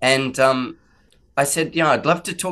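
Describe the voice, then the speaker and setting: With an Australian accent, a man speaks at a fairly high pitch over a quiet background. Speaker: podcast host. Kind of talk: casual interview chat.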